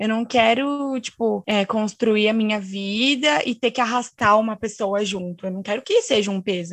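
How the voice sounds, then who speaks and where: Over a quiet background, a woman with a plain, everyday voice talks at a moderate pace with hardly any pauses, a fairly high pitch and ordinary pitch variation. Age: 20s. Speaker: student. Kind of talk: casual chat.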